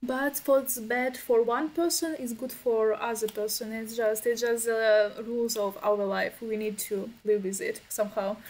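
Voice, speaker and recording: A fairly slow delivery with a Ukrainian accent, ordinary pitch variation and hardly any pauses, on a very clean recording with a silent background. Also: woman, fairly high pitch for a woman. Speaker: event host. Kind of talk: casual chat. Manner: halting.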